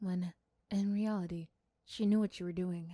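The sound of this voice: A woman with a fairly low pitch and a dark, mellow tone speaks at a moderate pace with fairly even intonation, in a very clean recording with a silent background.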